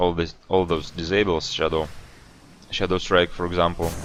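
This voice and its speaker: Music plays in the background as the voice moves along at a fairly quick pace. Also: man. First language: not English. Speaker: esports caster. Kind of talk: live commentary. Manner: halting.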